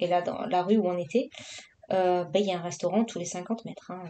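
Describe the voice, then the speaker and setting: A woman at a fairly quick pace, medium in pitch, with fairly even intonation. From southern France, Marseille. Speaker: vlogger, adult colouring. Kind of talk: casual vlog chat while colouring. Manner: casual, hesitant with many fillers.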